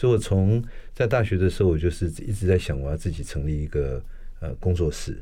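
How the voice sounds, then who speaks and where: This man has a very deep, low voice with a dark, mellow, somewhat breathy tone, lively intonation and a fairly quick pace. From Taiwan, Taipei. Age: 60s. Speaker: architect and professor. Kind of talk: interview conversation.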